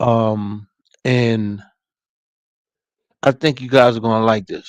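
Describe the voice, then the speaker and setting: A man talks very slowly at a medium pitch, his intonation monotone and flat. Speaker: motivational livestream host. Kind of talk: casual livestream talk. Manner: halting, stuttering at times.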